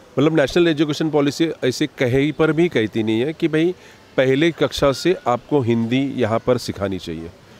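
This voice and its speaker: A man speaks in a Marathi accent. His pitch is fairly high. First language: Marathi (speaking Hindi). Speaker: party spokesperson. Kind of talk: interview. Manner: animated.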